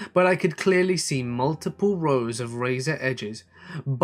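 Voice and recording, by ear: The voice sounds natural. It is reading aloud.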